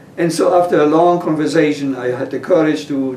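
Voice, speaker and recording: A man talks with fairly even intonation. Noticeable background noise and audible room echo fill the recording. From Poland. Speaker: interviewee, retired chef. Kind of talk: oral history interview.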